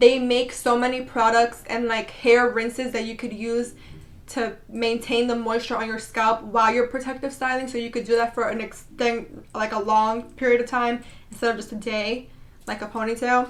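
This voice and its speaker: A woman with a fairly high pitch speaks at a moderate pace in a monotone, flat intonation, with noticeable background noise. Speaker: beauty vlogger. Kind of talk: casual vlog tutorial.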